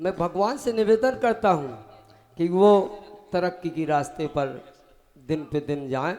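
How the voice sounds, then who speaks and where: A man's high-pitched voice with lively intonation. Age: 60s. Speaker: retiring government education employee. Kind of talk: farewell speech. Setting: stage with audience. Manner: formal.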